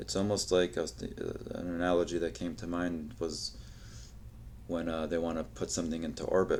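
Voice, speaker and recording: Speaking at a fairly quick pace, a man with a very deep, low pitch shows vocal fry and ordinary pitch variation. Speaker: podcast host. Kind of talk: solo podcast monologue. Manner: halting, stuttering.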